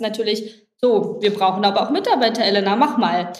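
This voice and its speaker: Noticeable background noise and audible room echo accompany a woman's voice. She speaks at a fairly high pitch and a moderate pace with fairly even intonation. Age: 20s. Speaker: head of HR at a food company. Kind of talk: podcast interview.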